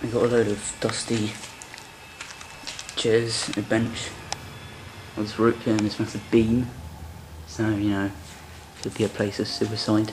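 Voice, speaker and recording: Fairly slow speech with long, frequent pauses over noticeable background noise. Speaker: explorer vlogger. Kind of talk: casual vlog narration. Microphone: phone near.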